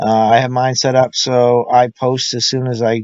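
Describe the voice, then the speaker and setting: Monotone, flat intonation marks this speech. It comes from a man with a medium pitch. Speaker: school administrator training teachers. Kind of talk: tutorial. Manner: casual, with fillers.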